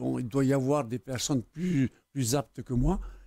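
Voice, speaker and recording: A man speaks at a fairly slow pace with a medium pitch and a dark, mellow tone. His pitch varies in an ordinary way, and the sound is dry and close with no echo. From French Polynesia, Tubuai, Austral Islands. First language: Tahitian (speaking French). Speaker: academy member, Tahitian writer. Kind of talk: TV interview. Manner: hesitant, many fillers.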